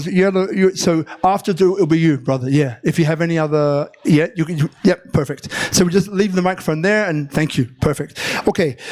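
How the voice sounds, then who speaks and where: Noticeable background noise sits behind the voice. It moves fairly quickly, with ordinary pitch variation. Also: man, high pitch for a man. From London, England. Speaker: public speaking coach. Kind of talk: live workshop talk to audience. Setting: live venue.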